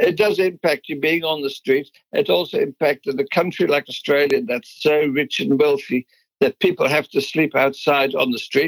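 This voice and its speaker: Recorded dry and close with no echo, a man with a Dutch accent speaks at a fairly high pitch, a moderate pace, and ordinary pitch variation. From Netherlands. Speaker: business founder. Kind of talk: interview.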